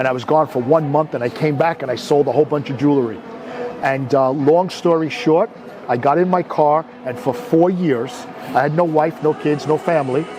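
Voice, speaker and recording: Over noticeable background noise, a man with an American accent speaks at a fairly high pitch. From New York (Brooklyn). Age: 60s. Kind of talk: interview, life story. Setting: outdoors, Beverly Hills.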